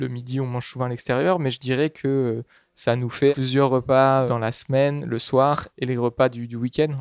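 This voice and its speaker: A man speaks at a medium pitch and a moderate pace, in a monotone, flat intonation. The sound is dry and close, with no echo. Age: 20s. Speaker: agricultural researcher. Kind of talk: interview. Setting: on location at a food co-op pickup. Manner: halting.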